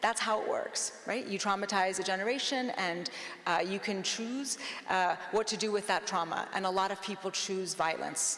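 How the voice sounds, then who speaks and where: Amid noticeable background noise and audible room echo, a woman speaks with fairly even intonation. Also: medium pitch for a woman, moderate pace. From US, immigrated from Iran at nine. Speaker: law professor and author. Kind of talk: panel discussion. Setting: stage with live audience.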